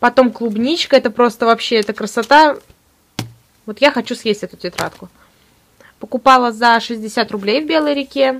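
Here a woman speaks at a moderate pace with a high pitch. She takes long, frequent pauses over light background noise. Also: ordinary pitch variation. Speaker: student video blogger. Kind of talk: casual show-and-tell vlog. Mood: enthusiastic, cheerful. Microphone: phone near.

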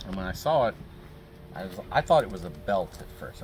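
Against noticeable background noise, a man speaks at a moderate pace with very wide pitch swings. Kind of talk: show-and-tell commentary. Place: garden. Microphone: camera far.

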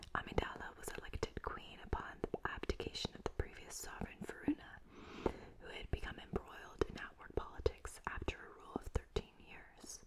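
A soft-spoken woman whispering at a fairly quick pace over loud background noise. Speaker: soft-spoken reader. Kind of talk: reading aloud from a book. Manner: soft close-mic ASMR whisper. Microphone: studio mic.

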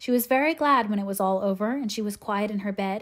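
The reading voice is natural, and its pitch varies in an ordinary way.

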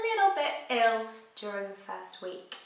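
A woman talks at a fairly slow pace. Room echo is audible around her voice. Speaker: YouTuber giving student advice. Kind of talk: casual vlog chat. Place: kitchen.

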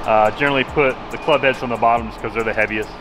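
A man's voice over music in the background. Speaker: factory staff giving tour. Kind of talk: guided tour explanation. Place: factory.

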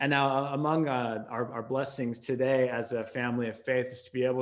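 Here a man is talking. His pace is fairly quick. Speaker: pastor. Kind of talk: worship welcome and announcements. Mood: warm, smiling. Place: home room. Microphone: webcam.

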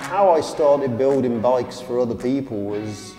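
Faint music plays behind a man as he talks with ordinary pitch variation. Room echo is audible. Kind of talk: interview answer. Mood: relaxed, reminiscing, light laughs. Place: garage. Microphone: lapel.

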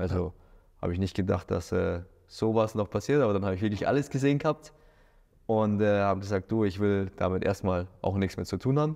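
The background stays quiet. A man's voice sits fairly low, with ordinary pitch variation. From Germany, Munich; Germany. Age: 30s. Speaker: former professional footballer. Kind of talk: interview. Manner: hesitant with many fillers. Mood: relaxed, reflective. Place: studio. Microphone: lapel.

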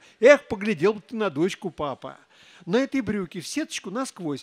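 A man pitched high, with very wide pitch swings against a quiet background. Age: old. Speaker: poet. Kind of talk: poetry reading. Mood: wry, humorous. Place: stage. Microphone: handheld.

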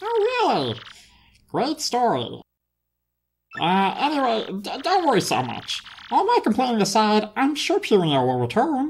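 Someone speaks at a fairly high pitch and a fairly slow pace, with long, frequent pauses. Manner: rambling, anxious, blunt.

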